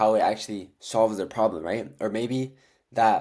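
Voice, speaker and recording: In a normal speaking voice, a man talks at a medium pitch and moderate pace, in a very clean recording with a silent background. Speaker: dropshipping coach. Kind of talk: tutorial. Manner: casual, filler-heavy.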